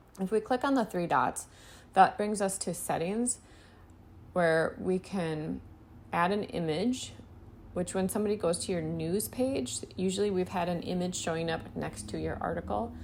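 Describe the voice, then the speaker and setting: A woman's ordinary speaking voice, fairly low in pitch, with lively intonation at a moderate pace. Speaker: web design instructor. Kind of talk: tutorial.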